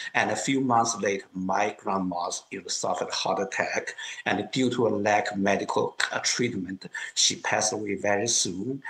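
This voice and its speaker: Someone with a Chinese accent speaks at a moderate pace with fairly even intonation. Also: man, fairly low pitch for a man. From China, Kunming (Yunnan). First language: Mandarin Chinese. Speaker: political activist. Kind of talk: interview testimony.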